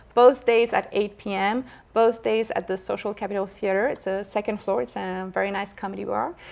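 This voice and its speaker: Someone speaks at a moderate pace with a French accent. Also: woman, medium pitch for a woman, ordinary pitch variation. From France, Paris. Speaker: actress. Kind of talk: interview. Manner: halting, many fillers.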